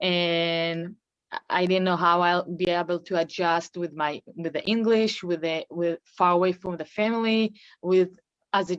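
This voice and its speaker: A woman with an Israeli accent speaks at a fairly slow pace, using a medium pitch and fairly even intonation. The sound is dry and close with no echo. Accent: Israeli (Hebrew-accented English). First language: Hebrew. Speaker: professional basketball player. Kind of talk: interview. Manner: halting.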